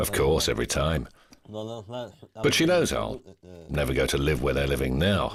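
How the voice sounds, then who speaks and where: The speaker moves at a fairly slow pace with very wide pitch swings, and there is noticeable background noise. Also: man, very deep, low pitch for a man. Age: 40s. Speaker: homeless fighter. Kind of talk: documentary interview.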